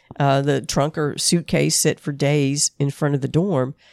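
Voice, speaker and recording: At a moderate pace, a woman with a Southern US accent speaks in a very deep, low voice, the sound dry and close with no echo and the background silent in a very clean recording. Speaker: podcast co-host. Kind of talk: casual chat, presenting case research.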